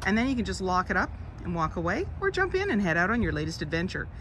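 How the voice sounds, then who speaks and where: Light background noise sits behind a woman speaking. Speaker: car dealership salesperson. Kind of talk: product walkaround commentary. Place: car. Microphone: phone near.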